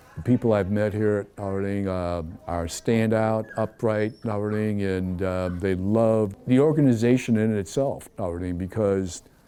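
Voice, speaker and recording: The man speaks at a fairly slow pace in a fairly low pitch. His tone is dark and mellow, with fairly even intonation. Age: 70s. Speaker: military veteran with a service dog. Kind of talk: interview.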